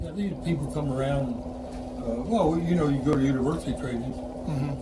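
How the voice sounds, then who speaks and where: Music plays in the background as a man talks at a moderate pace. He has a fairly high pitch and an American accent. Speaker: retired volunteer fire chief. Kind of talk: oral history interview answer. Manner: casual, reminiscing.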